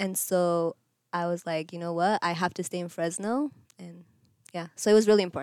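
A woman's ordinary speaking voice, fairly low in pitch, at a fairly quick pace with ordinary pitch variation and big swings in loudness, in a very clean recording with a silent background. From Eritrea and Kenya, moved to US at almost 11. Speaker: college cross country runner. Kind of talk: interview testimony.

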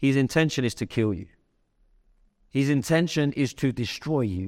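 A man's medium-pitched voice at a moderate pace, lively intonation, and a very clean recording with a silent background. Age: 30s. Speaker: pastor. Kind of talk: sermon. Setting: church.

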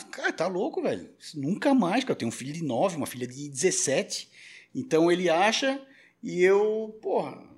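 A man with a high pitch talks at a moderate pace, using very wide pitch swings. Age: 40s. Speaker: radio and podcast producer. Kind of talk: casual chat.

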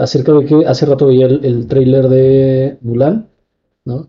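A man's medium-pitched voice at a very slow pace. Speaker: film podcast co-host. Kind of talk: casual chat.

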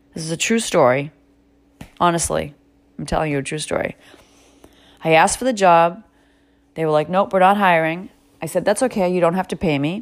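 A woman with an American accent talks at a fairly quick pace in a fairly low voice, her tone animated and her pitch varying in an ordinary way, broken by long, frequent pauses. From Massachusetts. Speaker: podcast host. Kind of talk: motivational monologue.

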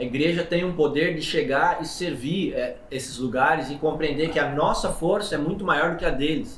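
Noticeable background noise sits behind a man with a fairly high pitch. He talks at a moderate pace with ordinary pitch variation and hardly any pauses. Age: 30s. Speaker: podcast host, pastor. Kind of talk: casual interview chat.

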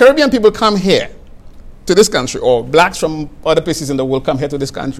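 There is noticeable background noise as a man speaks. His intonation is lively. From St. Lucia. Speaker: guest speaking on faith and justice. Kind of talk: interview conversation.

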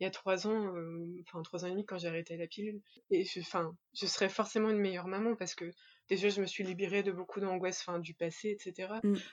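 The woman talks at a very fast pace. Her intonation is monotone and flat. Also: medium pitch for a woman. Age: 30s. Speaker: interview guest sharing infertility story. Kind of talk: testimony. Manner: hesitant, many fillers.

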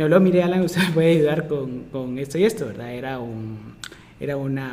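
A man at a very fast pace and fairly high pitch, with ordinary pitch variation and noticeable background noise. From Guatemala. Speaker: pharmaceutical chemist and data scientist, lecturer. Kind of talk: casual interview.

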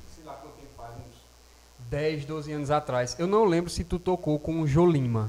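A man speaks in a plain, everyday voice at a moderate pace. His loudness swings widely. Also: fairly high pitch for a man, ordinary pitch variation. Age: 20s. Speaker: podcast co-host, musician. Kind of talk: casual chat.

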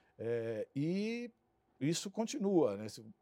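A man's dark, mellow voice, dry and close with no echo, on a very clean recording with a silent background. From São Paulo, Brazil (Santo André, ABC region). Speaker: marketing executive. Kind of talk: interview. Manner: halting.

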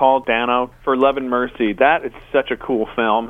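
At a moderate pace, a man with an ordinary speaking voice and medium pitch talks with fairly even intonation. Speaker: digital director and co-host. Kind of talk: casual chat. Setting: phone call.

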